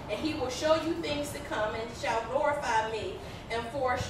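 A woman is heard with noticeable background noise and audible room echo. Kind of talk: scripture reading. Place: stage.

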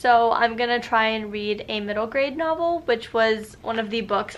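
At a moderate pace, a woman speaks with a fairly high pitch. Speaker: book vlogger. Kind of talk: casual talk to camera.

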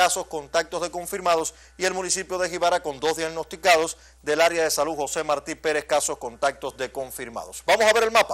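A man talks in a normal speaking voice at a fairly high pitch and a fairly quick pace. His pitch varies in an ordinary way, and the background is quiet. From Cuba. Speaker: TV news host. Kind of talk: TV news magazine presenting. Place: studio.

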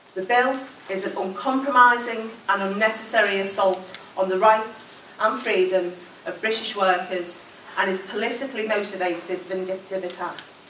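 A woman speaks at a moderate pace with fairly even intonation. Light background noise and audible room echo are present. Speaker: trade union regional convenor. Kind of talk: conference closing speech. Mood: forceful, rallying. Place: hall. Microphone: podium.

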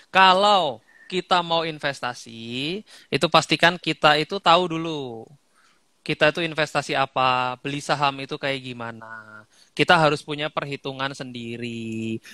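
A man talks at a moderate pace in a bright, sharp tone with ordinary pitch variation and big swings in loudness. The sound is dry with no echo, over a quiet background. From Indonesia, living in Bali. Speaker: guest speaker, content creator. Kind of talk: casual interview over Instagram Live. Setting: Instagram live video call. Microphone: headset.

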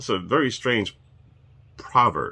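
Speaking at a fairly slow pace, a man has a bright, sharp tone with a slightly husky edge and vocal fry.

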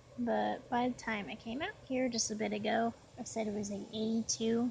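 A woman speaks at a moderate pace with fairly even intonation, the sound dry with no echo and light background noise. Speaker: vlogger. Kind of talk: casual vlog chat. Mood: relaxed, slightly low. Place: garden. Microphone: phone near.

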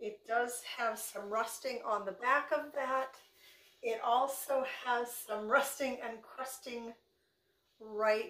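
A woman with a high voice speaks at a very slow pace and fairly even intonation. Audible echo fills the room. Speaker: thrift reseller vlogger. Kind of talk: casual vlog chat. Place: kitchen. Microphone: phone near.

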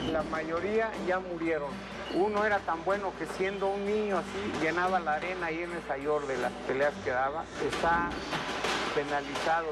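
A man speaks at a fairly slow pace with ordinary pitch variation. Loud music plays in the background. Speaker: boxing trainer. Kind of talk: interview answer. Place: gym.

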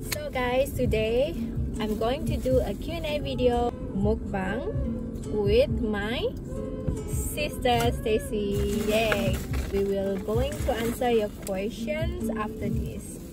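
Loud music plays behind a woman speaking at a very slow pace. The sound is dry, with no echo. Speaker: vlogger. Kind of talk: casual vlog chat. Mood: cheerful, relaxed. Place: car.

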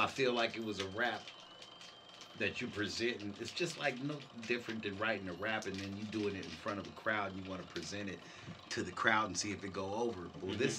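Speaking at a fairly quick pace, a man with a fairly low pitch comes through noticeable background noise. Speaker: interview guest. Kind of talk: interview answer. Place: studio. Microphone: lapel.

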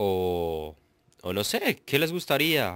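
A man's bright, sharp tone at a very slow pace, on a very clean recording with a silent background. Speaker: gaming youtuber. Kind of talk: let's play commentary.

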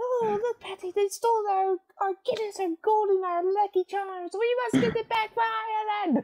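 This put-on character voice uses an Irish accent as part of the act, pitched extremely high and delivered at a moderate pace. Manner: mocking.

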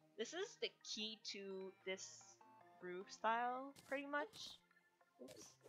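Very slow delivery with lively intonation and big swings in loudness, over music in the background. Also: woman. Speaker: gaming tutorial creator. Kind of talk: casual game tutorial voiceover. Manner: hesitant, many fillers.

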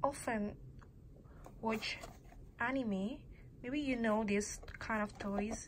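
A woman with an Indonesian accent speaks at a fairly high pitch and a very slow pace, with long, frequent pauses. Her voice is somewhat breathy, her intonation fairly even, and light background noise is audible. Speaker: student vlogger; toy reviewer. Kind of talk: casual show-and-tell vlog; casual vlog chat. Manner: halting, many pauses and fillers. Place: home room. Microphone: phone near.

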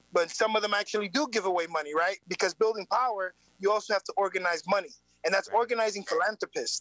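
The voice has a bright, sharp tone and ordinary pitch variation, moving at a very fast pace. The sound is dry with no echo over a quiet background. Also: man, high pitch for a man. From New York City, South Bronx; New York City. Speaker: community organizer; guest. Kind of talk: interview. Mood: earnest, engaged. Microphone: video call.

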